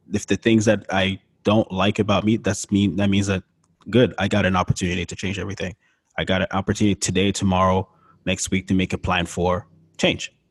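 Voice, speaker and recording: On a very clean recording with a silent background and a dry, close sound free of echo, a man with a very deep, low voice talks at a fairly quick pace in a monotone, flat delivery. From Montreal, Quebec, with years in Florida. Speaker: visual artist and podcaster. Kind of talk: interview conversation.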